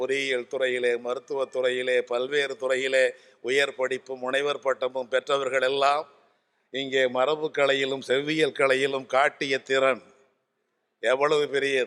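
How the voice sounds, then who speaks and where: With very even loudness, a man speaks at medium pitch in a monotone, flat intonation. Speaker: Tamil scholar and orator. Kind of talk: convention speech. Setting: stage with audience. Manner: formal.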